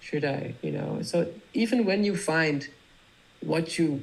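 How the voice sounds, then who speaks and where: A man with a Dutch accent, at a fairly slow pace, with ordinary pitch variation. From Netherlands. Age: 30s. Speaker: music producer. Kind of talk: interview.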